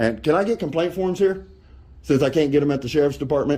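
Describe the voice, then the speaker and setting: A loud, very fast man's voice, fairly high in pitch, dark and mellow with vocal fry. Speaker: First Amendment auditor. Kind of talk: confrontation with officials.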